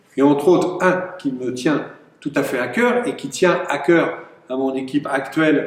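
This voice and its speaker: Noticeable background noise sits behind the recording. A man talks with lively intonation. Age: 60s. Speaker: mayor and election candidate. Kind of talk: campaign speech. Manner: hesitant, many filler sounds.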